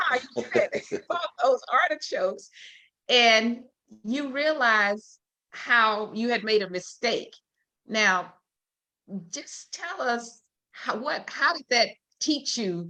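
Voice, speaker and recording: Speaking very slowly with long, frequent pauses, a woman with a Southern US accent has a high, bright, sharp voice and lively intonation. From Louisiana, Shreveport. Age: 70s. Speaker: talk show host. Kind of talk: interview. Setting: live stream.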